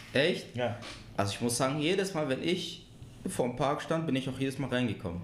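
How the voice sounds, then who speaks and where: Amid audible room echo, a man talks at a fairly quick pace with lively intonation. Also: medium pitch for a man. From Marbach area, Baden-Württemberg (moved from abroad at nine). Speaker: podcast guest, music lover. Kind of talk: casual chat.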